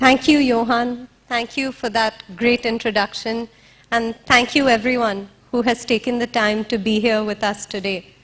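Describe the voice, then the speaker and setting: Shaky and fairly high in pitch, a woman's voice moves at a moderate pace with fairly even intonation. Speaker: interviewer and activist. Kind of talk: stage speech. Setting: stage with audience. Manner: shaky voice.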